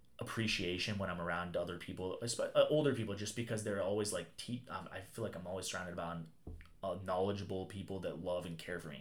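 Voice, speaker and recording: Over audible room echo, a man speaks at a fairly quick pace. His pitch is very deep and low. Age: 20s. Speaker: classic car dealer. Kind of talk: casual chat. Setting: car workshop.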